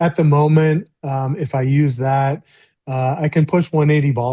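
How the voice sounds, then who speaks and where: A man speaks with a Midwestern American accent in a dark, mellow, somewhat breathy tone. His pitch varies in an ordinary way. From US Midwest (rural Missouri). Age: 50s. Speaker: professional golfer. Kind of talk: interview. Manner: halting, many fillers.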